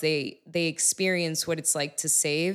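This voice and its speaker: With an American accent and a plain, everyday voice, a woman speaks at a fairly slow pace in a fairly low pitch with fairly even intonation, on a very clean recording with a silent background. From Miami, Florida. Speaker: music artist and bitcoin advocate. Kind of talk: casual chat. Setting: on location at a venue.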